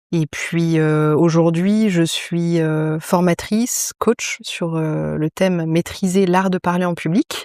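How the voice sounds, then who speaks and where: A woman speaks very slowly in a dark, mellow tone with fairly low pitch. Her intonation is fairly even, and the sound is dry and close with no echo. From grew up abroad (Egypt, Turkey) as French expatriate. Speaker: public speaking coach and radio co-host. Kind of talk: casual interview.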